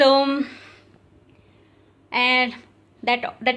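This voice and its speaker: A woman's raised, projected voice in an Odisha accent against a quiet background. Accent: Indian English, Odia. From India, Odisha. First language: Odia. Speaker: yoga teacher. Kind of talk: tutorial. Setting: live video. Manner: halting.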